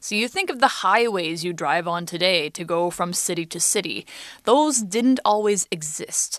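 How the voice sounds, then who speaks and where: A woman with a normal speaking voice and an American accent, medium-pitched, with lively intonation at a moderate pace. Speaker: English teacher podcast host. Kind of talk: language lesson.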